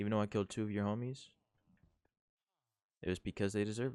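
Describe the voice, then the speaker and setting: Fairly low and dark, mellow in tone, a man's voice moves at a fairly quick pace. The recording is very clean with a silent background and a dry, close sound with no echo. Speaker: gaming youtuber. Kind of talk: let's play commentary. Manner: quieter than usual; casual.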